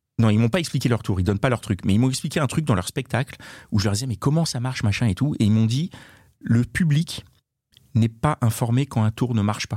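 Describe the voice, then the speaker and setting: In a very clean recording with a silent background and a dry, close sound with no echo, a man speaks at a medium pitch and a fairly quick pace, his somewhat breathy voice dark and mellow in tone, with ordinary pitch variation. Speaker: podcast co-host. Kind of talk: casual chat.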